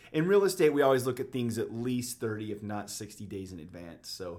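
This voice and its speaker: Here a man talks in a normal speaking voice with an American accent. His pace is fairly quick and his pitch varies in an ordinary way. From Utah, Davis County (Bountiful). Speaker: real estate agent. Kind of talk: casual interview chat. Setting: studio.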